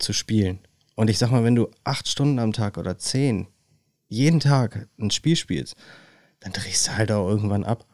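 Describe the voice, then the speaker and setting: A man talks at a fairly slow pace with ordinary pitch variation and long, frequent pauses. The sound is dry and close, with no echo. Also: fairly low pitch for a man, very clean recording, silent background. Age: 30s. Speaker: podcast co-host. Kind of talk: casual chat.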